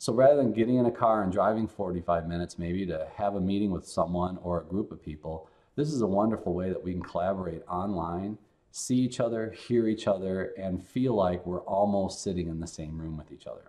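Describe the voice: At a fairly quick pace, a man speaks with a low pitch. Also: slightly mellow tone.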